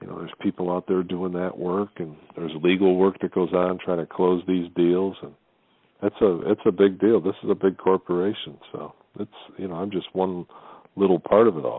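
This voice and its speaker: A man with a very deep, low pitch talks at a moderate pace in a monotone, flat way, his loudness swinging widely. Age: 60s. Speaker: golf club director. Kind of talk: interview.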